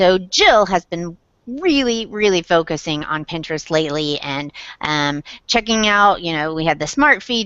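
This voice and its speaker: A woman with a slight Southern accent speaks at a fairly low pitch. Her intonation is lively. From Indiana, south side of Indianapolis. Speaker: blogger, web show host. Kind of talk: casual chat.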